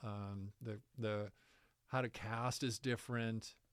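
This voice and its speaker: Male speech, medium in pitch. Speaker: college distance education coordinator. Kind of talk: interview answer. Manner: soft-spoken.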